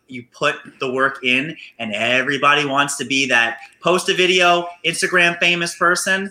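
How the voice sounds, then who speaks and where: In an energetic tone, a man speaks at a fairly high pitch with ordinary pitch variation. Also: moderate pace. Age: 30s. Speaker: physical therapist and podcaster. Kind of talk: casual interview. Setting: video call from his clinic.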